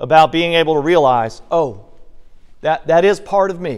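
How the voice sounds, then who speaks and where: With a slight Southern accent, a man speaks in a high voice at a fairly slow pace, his intonation lively. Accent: slight southern drawl. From Virginia, US South. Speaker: bible teacher. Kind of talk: bible study teaching. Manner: conversational.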